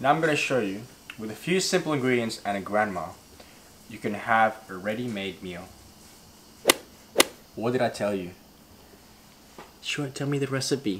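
Loud background noise surrounds a man who speaks with long, frequent pauses. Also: moderate pace. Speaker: food vlogger. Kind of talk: casual vlog chat. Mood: playful, joking. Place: home room.

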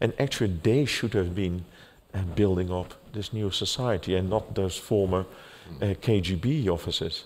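Over light background noise, a man with a very deep, low pitch speaks at a fairly slow pace with ordinary pitch variation. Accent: Dutch. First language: Dutch. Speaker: interviewer. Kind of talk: moderated public conversation; interview question and remarks. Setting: stage with audience. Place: stage. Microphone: headset.

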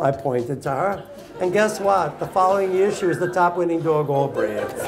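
A man's high-pitched voice with ordinary pitch variation and very even loudness, over noticeable background noise. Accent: American. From New York. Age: 80s+. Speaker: dog show judge. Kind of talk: interview answer, storytelling to live audience. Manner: humorous, outspoken. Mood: animated, humorous storytelling. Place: hall.

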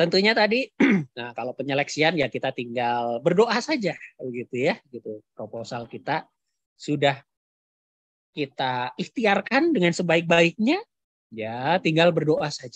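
At a fairly slow pace, a man with a fairly high pitch makes very wide pitch swings and big swings in loudness, his voice dry with no echo against a quiet background. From Central Java, Kebumen; Central Java, Indonesia. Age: 40s. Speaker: university lecturer. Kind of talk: webinar lecture. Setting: video call. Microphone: video call.

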